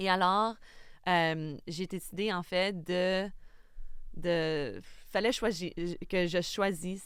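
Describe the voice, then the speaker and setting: A woman's medium-pitched, very slow delivery with long, frequent pauses and fairly even intonation. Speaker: film director. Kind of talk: casual chat. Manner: halting, many fillers.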